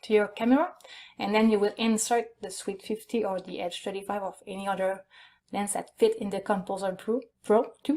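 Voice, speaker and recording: In a Quebec accent, a woman speaks at a moderate pace with a fairly high pitch. Her loudness swings widely, while her pitch variation is ordinary. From Quebec, Canada. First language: French. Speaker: photographer. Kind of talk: online conference presentation. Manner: halting, many fillers.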